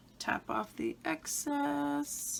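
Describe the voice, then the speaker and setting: A woman is speaking. Noticeable noise can be heard behind her. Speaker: beauty vlogger. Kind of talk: casual talk to camera.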